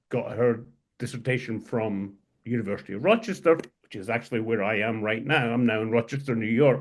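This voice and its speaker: The speaker has a Scottish accent, and the background is quiet. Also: man. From Scotland. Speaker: historian and editor. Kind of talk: interview conversation. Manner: halting.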